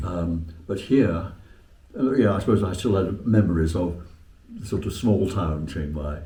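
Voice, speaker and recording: A somewhat breathy voice with a dark, mellow tone. Its pitch moves in an ordinary way, and the pace is fairly slow. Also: man, very deep, low pitch for a man. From Western England. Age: 80s+. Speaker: retired English teacher. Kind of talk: interview answer. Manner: hesitant, halting.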